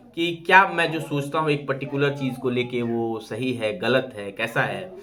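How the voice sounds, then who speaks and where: Noticeable background noise and audible room echo surround the recording. A man talks at medium pitch with lively intonation. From eastern Uttar Pradesh (Purvanchal, Bhojpuri belt). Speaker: YouTuber. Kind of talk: live stream monologue. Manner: hesitant, many fillers.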